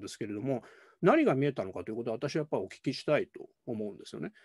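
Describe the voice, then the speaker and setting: A man's dark, mellow tone with vocal fry, over a quiet background. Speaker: political science professor. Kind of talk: academic panel commentary. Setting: video call. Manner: formal, polite. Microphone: video call.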